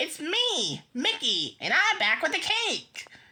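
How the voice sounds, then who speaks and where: At a fairly slow pace, a woman performs a put-on character voice at an extremely high pitch. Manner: deceptive, feigned.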